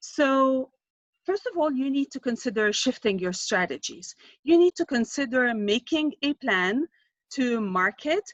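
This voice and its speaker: With a high pitch and very wide pitch swings, a woman talks at a fairly slow pace. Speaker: marketing consultant. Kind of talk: presentation.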